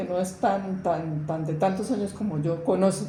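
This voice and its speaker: With noticeable background noise and audible room echo, a woman speaks. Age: 80s+. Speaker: witness of armed conflict. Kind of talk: testimony. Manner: halting.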